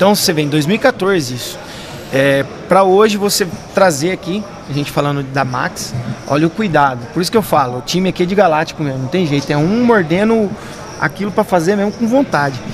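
Talking at a fairly quick pace over noticeable background noise, a man uses a high pitch and lively intonation. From Campinas, Brazil. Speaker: podcast co-host. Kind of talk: casual interview chat.

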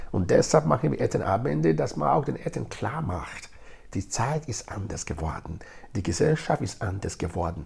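A man speaks at a moderate pace in a fairly low pitch, somewhat breathy. His pitch swings very widely. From Nigeria. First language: Edo (speaking German). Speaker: integration project leader. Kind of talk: interview.

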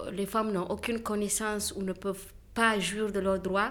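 Monotone and flat in intonation, a woman speaks at a medium pitch and a fairly slow pace. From Niger. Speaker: entrepreneur making reusable sanitary pads. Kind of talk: conversation. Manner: halting.

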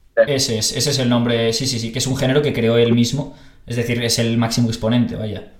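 A man at a fairly quick pace in monotone, flat intonation, with audible room echo and noticeable background noise. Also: medium pitch for a man. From Spain, Barcelona. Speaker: podcast host. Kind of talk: casual interview chat. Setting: video call.

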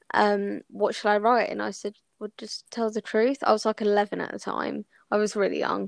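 In an English accent, a woman speaks at a fairly quick pace, the sound dry and close with no echo and the background quiet. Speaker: podcast co-host. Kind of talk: casual chat. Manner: loud.

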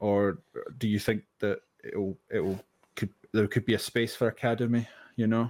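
A man speaks in a Scottish accent with fairly even intonation. The sound is dry and close, with no echo. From Scotland. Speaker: podcast co-host. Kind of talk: casual chat.

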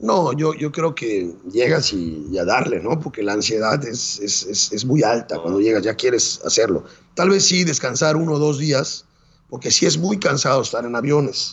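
A man's voice swings very widely in pitch. Vocal fry runs through it. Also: medium pitch for a man, moderate pace. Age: 40s. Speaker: marathon runner and Everest climber. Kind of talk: interview storytelling.

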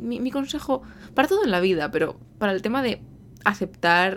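In a very clean recording with a silent background, a woman talks at a moderate pace with lively intonation. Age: 20s. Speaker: podcast host, translator. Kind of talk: solo monologue, casual advice talk. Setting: home recording in bedroom.

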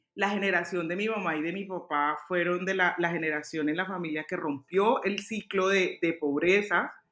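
Speech at a moderate pace with ordinary pitch variation, set against music in the background. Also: woman. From Colombia, Cali. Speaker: fashion designer and stylist. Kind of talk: interview. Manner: halting.

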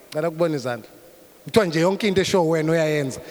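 A man with a Zulu accent at a very fast pace, amid noticeable background noise and audible room echo. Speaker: pastor. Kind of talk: sermon, code-switching between English and Zulu. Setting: church service with congregation. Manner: hesitant fillers, repeated uh and um.

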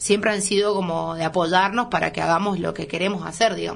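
Vocal fry runs through a woman's medium-pitched voice as she speaks at a fairly quick pace. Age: 20s. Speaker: chef and restaurant owner. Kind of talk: radio interview.

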